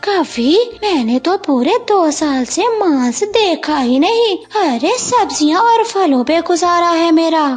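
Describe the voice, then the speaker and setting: A woman does a cartoonish character voice at an extremely high pitch, speaking at a fairly slow pace while faint music plays in the background. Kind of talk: children's cartoon voice acting.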